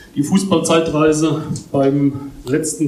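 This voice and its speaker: Against noticeable background noise and audible room echo, a man with a fairly high pitch speaks in a monotone, flat intonation. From Palatinate, Germany. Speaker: football historian. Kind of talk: formal speech. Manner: formal.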